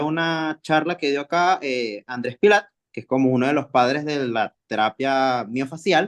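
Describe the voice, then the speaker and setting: A speaker with a Venezuelan accent talks at a moderate pace, with dry, close sound, no echo, and a quiet background. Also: man. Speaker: kinesiology graduate, webinar attendee. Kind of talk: question in a webinar Q&A.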